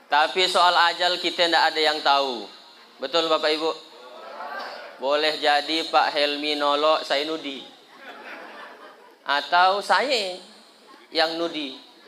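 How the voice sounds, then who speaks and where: With audible room echo and noticeable background noise, a man at a fairly high pitch talks at a very slow pace with long, frequent pauses. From Indonesia, West Kalimantan (Sambas). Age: 30s. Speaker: Islamic preacher. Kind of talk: sermon at a community gathering. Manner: animated, joking.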